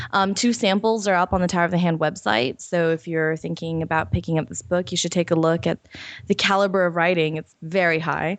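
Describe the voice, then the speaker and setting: Her pitch is fairly low for a woman, with ordinary variation. She speaks at a fairly quick pace. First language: not English. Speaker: podcast host. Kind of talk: casual chat. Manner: hesitant, many fillers.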